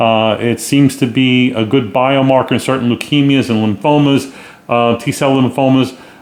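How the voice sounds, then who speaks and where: The delivery is monotone and flat, with very even loudness at a moderate pace against noticeable background noise. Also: man, medium pitch for a man. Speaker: rheumatologist podcast host. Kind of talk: solo podcast news review.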